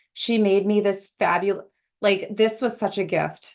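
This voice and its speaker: With a Minnesota accent, a woman speaks at a fairly slow pace against a quiet background. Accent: Minnesota (Upper Midwest). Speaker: association executive. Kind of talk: interview. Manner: casual, lots of filler words.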